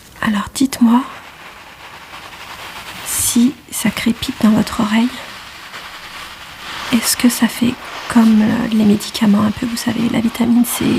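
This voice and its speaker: A soft-spoken woman talks at a fairly slow pace in a fairly high, monotone voice with flat intonation. Long, frequent pauses break up her speech over noticeable background noise. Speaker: ASMR creator playing an ENT doctor. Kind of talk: ASMR medical roleplay.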